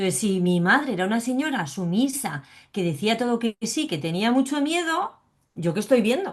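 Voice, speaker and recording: Her voice is fairly high and somewhat breathy, swinging very widely in pitch. The woman keeps a moderate pace. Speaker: psychologist and biodecoding specialist sharing her fibromyalgia testimony. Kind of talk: interview. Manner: animated.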